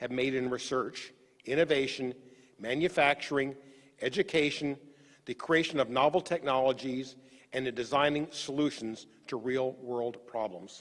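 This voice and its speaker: In a normal speaking voice with an American accent, a man talks at a moderate pace and a fairly high pitch. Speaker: executive officer of engineering academy. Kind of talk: formal ceremony speech. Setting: virtual online ceremony. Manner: formal.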